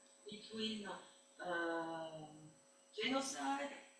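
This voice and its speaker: Very wide pitch swings carry through audible room echo. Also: woman. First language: French. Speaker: academic historian. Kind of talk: academic seminar question. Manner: halting, hesitant.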